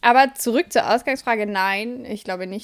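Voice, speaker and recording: Her fairly high voice moves with ordinary variation in pitch as the woman talks. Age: 20s. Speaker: podcast co-host. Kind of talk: casual chat.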